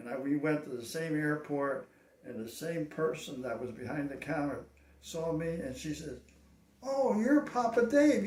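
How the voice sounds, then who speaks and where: A man with a fairly high pitch and very wide pitch swings, amid audible room echo and noticeable background noise. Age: 80s+. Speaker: cowboy action shooter. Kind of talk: interview. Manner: halting.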